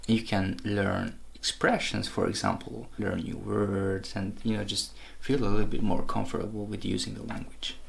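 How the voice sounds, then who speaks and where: A man with a non-native accent talks at a fairly slow pace, with audible room echo. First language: not English. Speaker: language-learning vlogger. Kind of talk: tutorial. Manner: casual, with hesitations.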